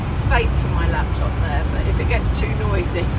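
Loud background noise surrounds talk delivered at a moderate pace. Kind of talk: casual vlog chat. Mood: relaxed, looking forward. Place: car. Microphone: phone near.

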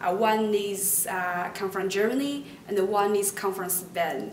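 A woman with a Chinese accent speaks very slowly with fairly even intonation, amid light background noise and audible room echo. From China. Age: 20s. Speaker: university student. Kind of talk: promotional testimonial interview. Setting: university lab. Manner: hesitant with fillers. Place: classroom.

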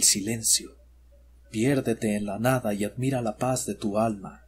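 A man's somewhat breathy, dramatic-toned delivery at a fairly slow pace. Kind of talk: scripted horror narration, ghost story telling. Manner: slow, hushed and ominous, addressing the listener directly as 'you'; deliberate, dramatic pauses, eerie and suspenseful.

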